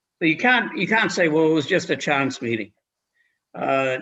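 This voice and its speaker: The speaker is a man. He talks with a Boston accent. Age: 70s. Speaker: lawyer giving legal training. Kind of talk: legal briefing to a commission. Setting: live-streamed public meeting. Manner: halting, many repeated words.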